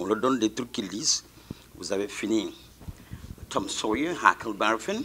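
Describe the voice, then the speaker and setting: The pace is fairly slow. A man does the talking. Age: 60s. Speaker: teacher. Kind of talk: speech at a school ceremony. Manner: mixes French and Wolof.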